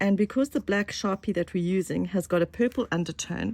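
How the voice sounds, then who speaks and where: This woman's voice sits at a medium pitch and sounds somewhat breathy. The sound is dry and close, with no echo. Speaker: craft tutor. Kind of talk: craft tutorial talk to camera.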